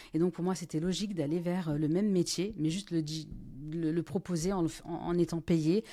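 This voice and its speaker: Dark, mellow tone at a moderate pace with fairly even intonation, in a very clean recording with a silent background. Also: woman. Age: 40s. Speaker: business owner and former business coach. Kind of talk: podcast interview. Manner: hesitant, many fillers.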